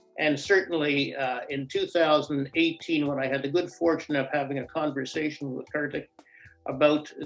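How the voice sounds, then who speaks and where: A man at a fairly high pitch and a moderate pace. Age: 70s. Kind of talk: testimonial. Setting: home office, recorded remotely. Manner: halting, with frequent fillers and repeats.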